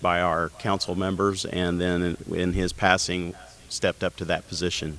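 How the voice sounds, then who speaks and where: Delivered at a moderate pace in a Midwestern American accent, the speech has monotone, flat intonation. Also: man. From Indiana. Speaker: county council candidate. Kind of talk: candidate forum statement.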